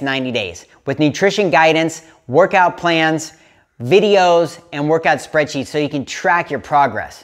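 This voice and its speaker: A man with ordinary pitch variation talks at a moderate pace against a quiet background. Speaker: fitness coach. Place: home room. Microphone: lapel.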